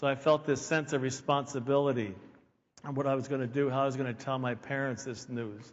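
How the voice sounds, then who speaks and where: Audible room echo surrounds a man's medium-pitched voice. He talks at a fairly quick pace with fairly even intonation. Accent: American. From Pennsylvania, near Philadelphia. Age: 60s. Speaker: keynote speaker. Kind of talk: conference talk.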